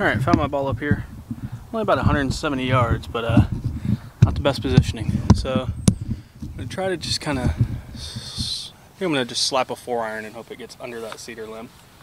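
Over loud background noise, a man speaks at a fairly quick pace in a dry recording with no echo. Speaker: golf vlogger. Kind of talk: casual vlog commentary. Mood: relaxed, self-deprecating. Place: open country. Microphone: phone near.

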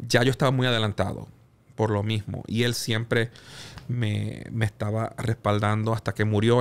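In a monotone, flat intonation, a man speaks at a fairly low pitch. His pace is fairly slow. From Puerto Rico. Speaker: music executive and producer; podcast guest. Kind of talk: interview conversation. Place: studio. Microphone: studio mic.

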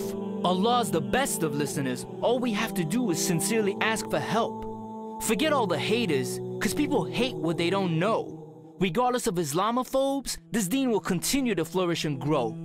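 Music plays in the background as a man talks. His pitch is high and his pace is moderate. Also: lively intonation, hardly any pauses, very even loudness. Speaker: spoken word poet. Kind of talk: spoken word poetry performance. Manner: powerful, motivational.

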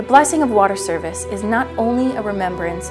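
Clear music plays behind a woman who talks at a moderate pace. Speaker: church educator. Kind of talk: educational religious narration. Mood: calm, warm, earnest. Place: studio.

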